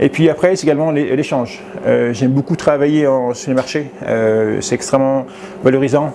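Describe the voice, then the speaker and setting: A man's voice shows ordinary pitch variation, with noticeable background noise underneath. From Savoie, French Alps. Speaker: farmer-baker. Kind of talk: interview. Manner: fast; hesitant, many fillers.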